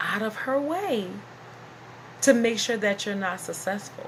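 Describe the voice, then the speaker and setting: A woman speaks in an animated tone with lively intonation over noticeable background noise. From US South. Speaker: YouTuber and business owner. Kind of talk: casual vlog monologue.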